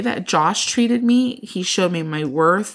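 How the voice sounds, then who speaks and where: In a very clean recording with a silent background, a woman with a plain, everyday voice speaks at a moderate pace with medium pitch and lively intonation. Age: 20s. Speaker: podcast co-host. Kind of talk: casual chat.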